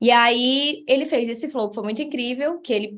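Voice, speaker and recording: Pitch variation in this woman's voice is ordinary. She keeps to a moderate pace. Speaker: content creator and marketing speaker. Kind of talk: online talk / presentation. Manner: animated.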